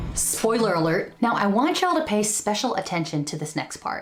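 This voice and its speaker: A woman speaking at a moderate pace. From Filipino American. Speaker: YouTube personal finance host. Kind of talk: scripted narration. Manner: energetic, hyped.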